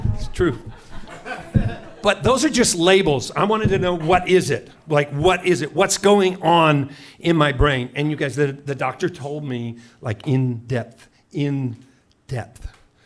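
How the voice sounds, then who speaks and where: With an American accent, a man speaks at a fairly slow pace with long, frequent pauses. His tone is animated, his intonation lively and his pitch fairly high. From US Pacific Northwest, Seattle. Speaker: comedian. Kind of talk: stand-up. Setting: stage with audience. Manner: loud.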